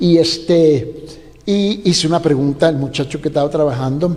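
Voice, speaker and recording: A man speaks at a fairly high pitch and moderate pace with a non-native accent. Noticeable background noise is present. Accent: noticeable foreign accent in Spanish. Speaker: pastor. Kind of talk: sermon. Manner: loud voice.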